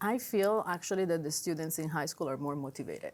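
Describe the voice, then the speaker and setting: A speaker with a strong Italian accent talks with ordinary pitch variation. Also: woman. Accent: heavy Italian. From Italy. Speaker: high school language teacher. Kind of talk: interview.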